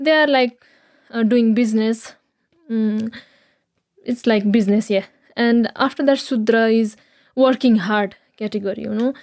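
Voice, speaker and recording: A woman with a Nepalese accent, fairly high in pitch, at a fairly slow pace with fairly even intonation and long, frequent pauses. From Nepal, Kathmandu area. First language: Nepali (speaking Slovak). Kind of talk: interview. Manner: halting.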